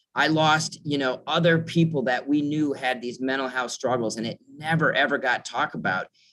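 Here a man speaks with an Upper Midwest accent. His tone is bright and sharp, with a fairly high pitch. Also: ordinary pitch variation, moderate pace, hardly any pauses. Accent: Upper Midwest American. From Minnesota, northern suburb of Minneapolis. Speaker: mental health nonprofit director. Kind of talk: interview.

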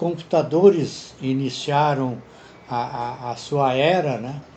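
The speaker is a man. His pitch is fairly high. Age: 80s+. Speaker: retiree. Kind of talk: interview answers.

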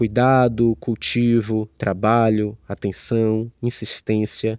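A man speaks at a very slow pace in a medium pitch with a dark, mellow tone. The sound is dry and close with no echo, and the recording is very clean, with a silent background. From Salvador, Bahia, Brazil. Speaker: writer and podcast host. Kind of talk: solo reflective monologue. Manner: hesitant, with fillers and repetitions.

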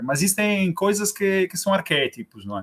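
A man speaks at a moderate pace with an Italian accent. The recording is very clean and silent behind him, with a dry, close sound and no echo. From Italy (Rome). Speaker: film club organizer. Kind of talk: interview.

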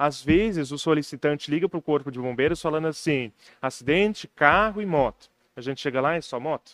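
A man's ordinary speaking voice, fairly high in pitch with ordinary pitch variation, at a fairly quick pace in a very clean recording with a silent background. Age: 20s. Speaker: local news website founder. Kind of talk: casual interview.

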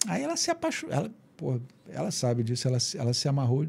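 On a very clean recording with a silent background, a man speaks at a medium pitch in a dark, mellow tone that is somewhat breathy. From Rio de Janeiro, Brazil. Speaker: guitarist and musician. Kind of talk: casual interview chat. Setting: podcast studio.

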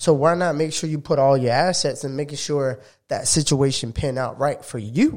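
A man with an American accent and a normal speaking voice, fairly high in pitch, with fairly even intonation at a moderate pace, on a very clean recording with a silent background. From South Florida. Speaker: sports podcast co-host. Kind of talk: casual chat.

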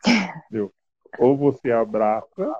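Very slow male speech, medium in pitch, with ordinary pitch variation. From northern Paraná, Brazil. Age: 40s. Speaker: social project leader. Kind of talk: interview. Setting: video call. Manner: halting.

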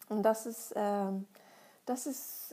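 A woman with a Russian accent speaks at a fairly high pitch with fairly even intonation. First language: Russian (speaking German). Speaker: psychologist and author. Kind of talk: monologue answering listener questions.

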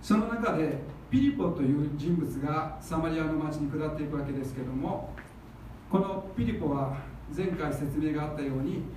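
With noticeable background noise and audible room echo, a man speaks at a moderate pace, his fairly high voice showing ordinary pitch variation. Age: 50s. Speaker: pastor. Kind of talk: sermon.

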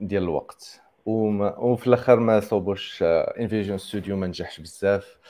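This man's voice sits fairly low in pitch, with a dark, mellow tone. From Morocco. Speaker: software engineer. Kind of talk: interview. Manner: hesitant, filler-heavy.

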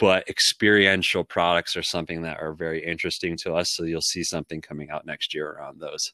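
In a very clean recording with a silent background and a dry, close sound with no echo, a man with a very deep, low pitch and a bright, sharp tone speaks in a flat monotone at a very fast pace with hardly any pauses. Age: 30s. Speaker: entrepreneur. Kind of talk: interview.

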